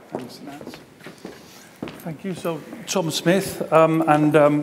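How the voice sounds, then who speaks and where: A man with a Gibraltarian accent speaks with ordinary pitch variation, with audible room echo and noticeable background noise. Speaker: talent management consultant. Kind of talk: conference presentation.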